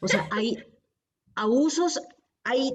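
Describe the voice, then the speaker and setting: A woman speaks at a very slow pace, her intonation lively. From Colombia. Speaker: theologian. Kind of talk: podcast interview answer.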